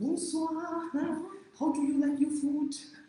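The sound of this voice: Someone puts on a character voice in a French accent, high in pitch. The pace is fairly slow, with a slight echo.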